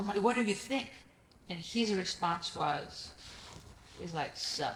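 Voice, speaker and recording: Noticeable background noise sits behind a woman speaking at a medium pitch. Her pace is fairly slow, with ordinary pitch variation. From Greece. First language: Greek. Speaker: real estate investor. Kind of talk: podcast interview. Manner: animated.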